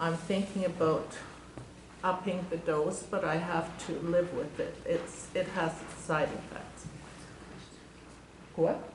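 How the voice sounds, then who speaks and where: Speaking very slowly with long, frequent pauses, a woman uses a fairly low pitch and a monotone, flat intonation, with noticeable background noise and audible room echo. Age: 60s. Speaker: audience member asking a question. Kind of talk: audience question.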